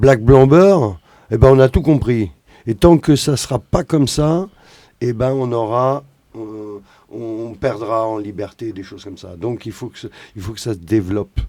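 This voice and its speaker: A man's medium-pitched voice with a dark, mellow tone and ordinary pitch variation, fairly slow with long, frequent pauses and big swings in loudness, on a very clean recording with a silent background. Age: 50s. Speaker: musician. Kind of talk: casual chat.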